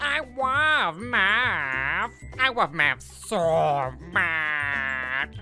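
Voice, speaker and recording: A man's put-on character voice, fairly high in pitch and very slow, with clear music in the background. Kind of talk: comic dub.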